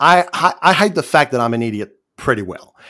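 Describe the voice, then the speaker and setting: A man with a Quebec accent, medium in pitch, his voice swinging very widely up and down, on a very clean recording with a silent background. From Quebec, Canada. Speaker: online community member, former minister. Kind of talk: casual interview chat. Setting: voice chat. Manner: halting, frequent stammered restarts.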